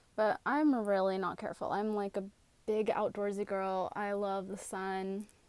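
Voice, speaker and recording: A plain, everyday voice at a moderate pace with fairly even intonation. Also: woman, medium pitch for a woman. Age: 30s. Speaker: vlogger. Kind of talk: casual chat.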